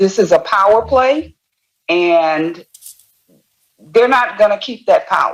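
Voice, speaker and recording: Here a woman speaks in a Texan accent with a fairly high pitch and lively intonation. Her pace is very slow, with long, frequent pauses. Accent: Texan Southern American. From Texas. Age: 70s. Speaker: voter. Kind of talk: interview. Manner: determined, emphatic.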